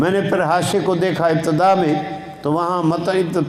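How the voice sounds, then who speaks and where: A man is speaking in a room with audible echo. Noticeable background noise runs behind him. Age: 70s. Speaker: Islamic scholar, hadith teacher. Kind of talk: religious lecture on hadith.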